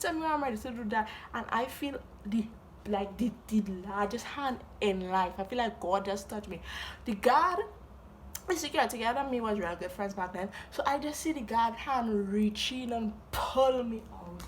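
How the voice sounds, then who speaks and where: Noticeable background noise sits behind a woman speaking in a fairly high pitch. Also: lively intonation, moderate pace. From Trinidad and Tobago. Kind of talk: storytime talk to camera. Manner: animated, comedic.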